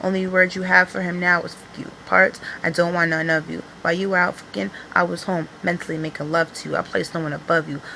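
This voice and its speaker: A woman talks at a very fast pace in a fairly low pitch with fairly even intonation. Background noise is noticeable. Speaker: poet. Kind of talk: poetry reading; casual vlog talk. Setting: home video recording on iPad.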